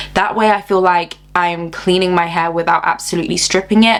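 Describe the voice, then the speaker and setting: Noticeable background noise runs under a woman speaking at a fairly quick pace in a fairly low pitch. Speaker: hair care vlogger. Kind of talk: tutorial. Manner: fast; animated.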